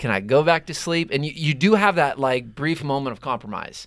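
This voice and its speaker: A man with a fairly high pitch and a bright, sharp tone talks at a fairly quick pace in a very clean recording with a silent background. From Pittsburgh, Pennsylvania. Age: 30s. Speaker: youth nonprofit leader. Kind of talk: casual chat.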